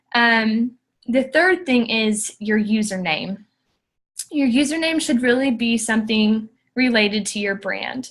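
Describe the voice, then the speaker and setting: Fairly slow delivery in a normal speaking voice, its pitch varying in an ordinary way. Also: woman, fairly high pitch for a woman. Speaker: social media guest speaker. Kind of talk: tutorial. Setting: conference call.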